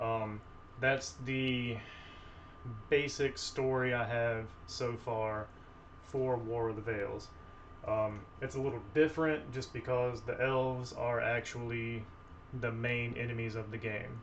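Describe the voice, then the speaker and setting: A man at a very slow pace with fairly even intonation and long, frequent pauses, in audible room echo. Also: medium pitch for a man. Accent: Southern US. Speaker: tabletop game designer and video creator. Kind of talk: casual video introduction. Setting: filming at a table, camera on table. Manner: hesitant, many fillers.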